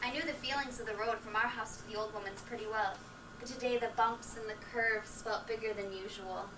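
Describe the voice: Plain reading aloud, delivered with fairly even intonation.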